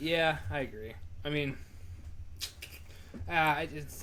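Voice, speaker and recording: With audible room echo around him, a man talks with lively intonation. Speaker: sports podcast co-host. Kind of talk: casual chat. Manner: loud; animated.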